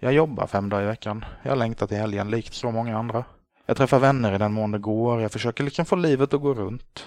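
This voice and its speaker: A man speaks at a fairly quick pace in a medium pitch against a quiet background, with a plain, everyday voice. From Sweden, Småland (Gnosjö). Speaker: podcast host. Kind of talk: solo podcast monologue.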